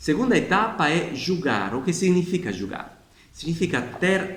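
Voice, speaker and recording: Through audible room echo and noticeable background noise, a man with a non-native accent speaks at a fairly slow pace and a high pitch. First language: not Portuguese (speaking Portuguese). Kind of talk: explanatory video talk. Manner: informal, with hesitations.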